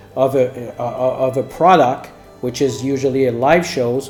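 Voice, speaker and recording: A man talks at a fairly slow pace in a French Canadian accent. An audible room echo surrounds his voice. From Quebec. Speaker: executive producer and course teacher. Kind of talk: lecture. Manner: halting.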